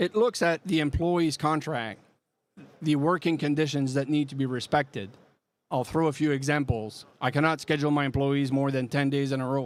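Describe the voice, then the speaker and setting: Speaking at a moderate pace, a man with a strong French Canadian accent uses a fairly high pitch and ordinary pitch variation. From Quebec. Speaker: software product presenter. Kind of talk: live product demo. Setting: trade show booth with live audience.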